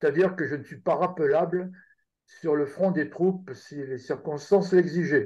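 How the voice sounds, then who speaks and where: Here a man speaks with a fairly high pitch and a dark, mellow tone. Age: 70s. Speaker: retired army general. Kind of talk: interview.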